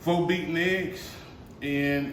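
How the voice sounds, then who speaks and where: A man with a fairly high voice speaks very slowly, his intonation fairly even. Room echo is audible. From US South. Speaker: home cooking youtuber. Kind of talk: cooking tutorial. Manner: casual, folksy.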